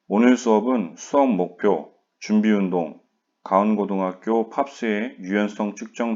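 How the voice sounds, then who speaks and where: A man speaks at a very slow pace in a fairly low pitch. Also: quiet background. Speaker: high school PE teacher. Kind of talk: online class lecture. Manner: monotone.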